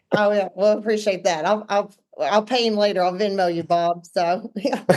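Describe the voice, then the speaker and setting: A woman with an Arkansas accent talks at a moderate pace with fairly even intonation. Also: medium pitch for a woman. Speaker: real estate team owner. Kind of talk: podcast interview.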